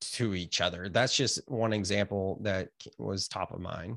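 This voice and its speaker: The recording is very clean, with a silent background. A man with a Californian accent speaks at a fairly slow pace. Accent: Californian American. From US West Coast, California (Gilroy). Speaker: author and yoga teacher. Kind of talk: casual interview chat.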